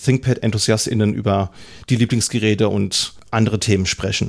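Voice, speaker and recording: A man speaks in an ordinary speaking voice at a fairly quick pace. His pitch is medium, with ordinary variation. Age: 30s. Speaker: podcast host, IT trainer. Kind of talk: solo podcast monologue.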